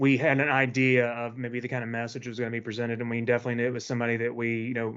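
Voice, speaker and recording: A man speaks with a Tennessee accent. His intonation is monotone and flat. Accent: Southern US (Tennessee). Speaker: event host, employee group member. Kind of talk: event introduction speech. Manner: casual, many filler words.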